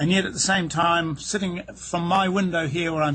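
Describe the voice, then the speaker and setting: A man with a New Zealand accent speaks at a fairly high pitch and a moderate pace. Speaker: real estate agent. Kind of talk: interview. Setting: outdoors on a boat dock, over wireless internet.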